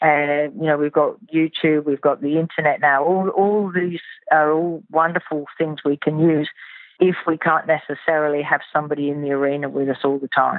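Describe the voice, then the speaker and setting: With a slight English accent, a woman talks at a moderate pace in a very deep, low voice, her intonation fairly even. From southern England. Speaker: riding instructor. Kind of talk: interview.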